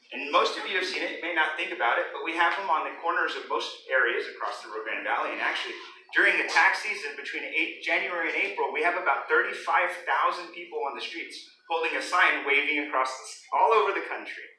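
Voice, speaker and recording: Very fast speech from a man, with audible room echo and noticeable background noise. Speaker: business owner, guest speaker. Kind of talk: motivational talk to children. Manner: loud; interactive, questioning audience.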